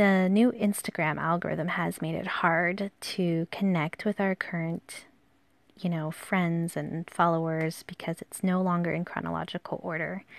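Against a quiet background, a woman talks at a fairly slow pace with a fairly low pitch and monotone, flat intonation. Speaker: podcast host and calligraphy artist. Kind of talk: casual solo monologue. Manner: hesitant, many fillers.

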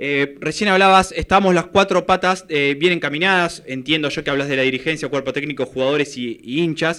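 In an ordinary speaking voice, a man talks at a fairly quick pace and fairly high pitch, with ordinary pitch variation and hardly any pauses. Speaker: sports radio host. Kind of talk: radio interview.

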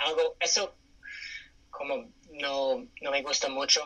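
A man speaks with an English accent. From California, US. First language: English (speaking Spanish). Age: 30s. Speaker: interview guest. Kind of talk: interview. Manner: hesitant with fillers.

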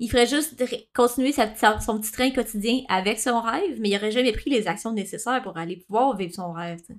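Talking at a fairly quick pace, a woman uses a fairly high pitch with ordinary pitch variation and big swings in loudness. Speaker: podcast co-host. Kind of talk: casual chat.

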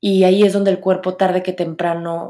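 Her intonation is monotone and flat. This woman speaks at a fairly low pitch. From Mexico, Monterrey. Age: 30s. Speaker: podcast host. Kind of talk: solo podcast monologue.

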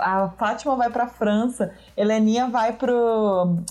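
A woman with a Minas Gerais accent speaks at a very slow pace. Her pitch is high, and there is noticeable background noise. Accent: Minas Gerais (mineiro). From Minas Gerais, Brazil. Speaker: podcast guest. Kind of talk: casual chat.

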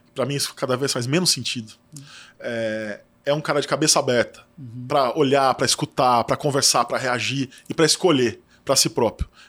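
Using an ordinary speaking voice, a man talks at a fairly quick pace, medium pitch, and fairly even intonation. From Brazil, São Paulo interior. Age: 40s. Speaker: magazine editor-in-chief. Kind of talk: casual interview chat.

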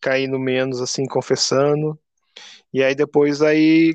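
A man's fairly high voice at a moderate pace, with fairly even intonation and a dry, close sound with no echo against a quiet background. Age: 30s. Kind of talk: casual faith interview.

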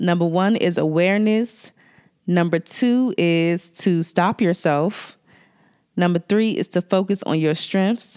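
A woman with a Washington DC accent talks at a fairly slow pace and a fairly low pitch. Her loudness stays very even, with ordinary pitch variation. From Washington DC area. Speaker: makeup artist and podcast host. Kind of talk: solo podcast talk with tips. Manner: friendly, conversational.

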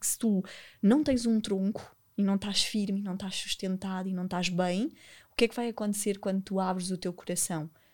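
A woman's unremarkable speaking voice at medium pitch, fairly quick and fairly even in intonation, on a very clean recording with a silent background. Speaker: podcast host and former dancer. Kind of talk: casual interview chat.

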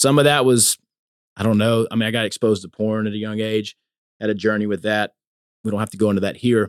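Speaking at a fairly quick pace, a man with a Louisiana accent has a medium pitch. The sound is dry and close with no echo. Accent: Southern US, Louisiana. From US South. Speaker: preacher's son, corporate professional sharing faith story. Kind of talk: casual chat, testimony. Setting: recorded live at a men's conference.

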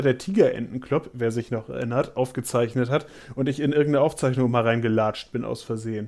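Talking at a fairly quick pace, a man uses a normal speaking voice at a medium pitch with ordinary pitch variation. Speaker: theme park podcaster and vlogger. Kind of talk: casual chat.

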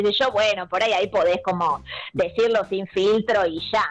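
A woman with a medium pitch and ordinary pitch variation talks as noticeable background noise carries on. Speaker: psychologist. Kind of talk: casual chat. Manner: loud.

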